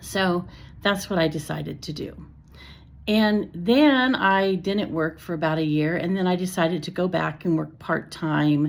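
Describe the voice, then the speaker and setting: A woman with a plain, everyday voice, fairly low in pitch, at a fairly slow pace with ordinary pitch variation. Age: 60s. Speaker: retired teacher. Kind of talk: personal vlog talk. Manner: casual, with fillers and self-corrections.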